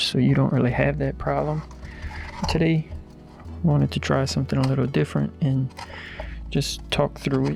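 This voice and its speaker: Soft-spoken delivery comes at a moderate pace with music in the background. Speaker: RC hobby YouTuber. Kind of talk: tutorial.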